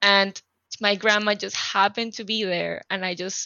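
In a Spanish accent, a woman speaks at a medium pitch and fairly slow pace. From Panama City, Panama. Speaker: activist and life coach.

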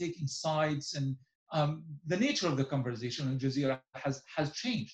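A man with an Arabic accent speaks at a fairly high pitch. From Gaza, Palestine. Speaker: journalist and author. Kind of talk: interview.

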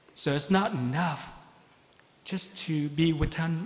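Over noticeable background noise, a man talks very slowly at a fairly high pitch with ordinary pitch variation. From Vietnam (Saigon). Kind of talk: sermon. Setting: church.

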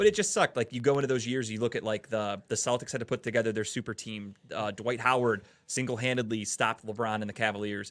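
In a very clean recording with a silent background, a man at medium pitch talks at a very fast pace with hardly any pauses and a monotone, flat intonation. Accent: American. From Cleveland, Ohio. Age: 30s. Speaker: sports podcast host. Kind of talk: casual chat. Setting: studio.

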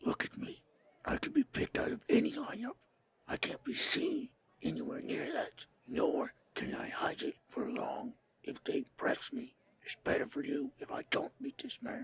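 Whispering at a moderate pace, a man puts on a character voice. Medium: actual play. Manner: guarded, blunt.

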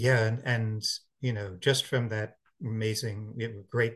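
Speaking at a moderate pace, a man uses a medium pitch and monotone, flat intonation, and his voice is somewhat breathy. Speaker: podcast host. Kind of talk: interview intro and conversation.

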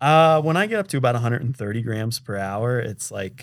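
A man's plain, everyday voice at a moderate pace with ordinary pitch variation, on a very clean recording with a silent background. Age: 30s. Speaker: professional triathlete. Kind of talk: casual chat. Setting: recording in person in Boulder.

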